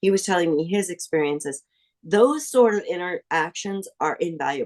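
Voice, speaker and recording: In an ordinary speaking voice, a woman talks at a moderate pace and medium pitch with lively intonation, the sound dry and close with no echo. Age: 60s. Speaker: seminary graduate. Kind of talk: interview.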